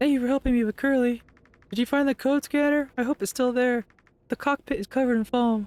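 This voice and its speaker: This put-on character voice races along at a very fast pace with fairly even intonation. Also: woman, high pitch for a woman. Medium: game stream. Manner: hesitant, soft.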